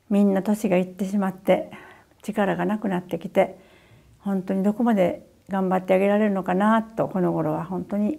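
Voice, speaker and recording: Speaking at a moderate pace over a quiet background, a woman has a dark, mellow tone. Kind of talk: personal video message. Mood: sorrowful, earnest. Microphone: lapel.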